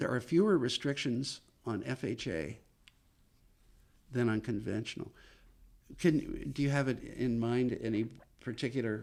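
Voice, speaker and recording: Pausing long and often, a man speaks at a medium pitch with vocal fry. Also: ordinary pitch variation. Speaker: mortgage loan officer. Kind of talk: podcast interview. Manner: fast.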